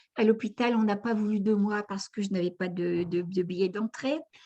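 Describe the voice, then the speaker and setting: Against a quiet background, a woman speaks at a moderate pace. Her fairly high voice is somewhat breathy, with a dark, mellow tone. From northern France (Aisne, near Saint-Quentin). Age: 80s+. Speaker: near-death experience witness, author. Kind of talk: testimony.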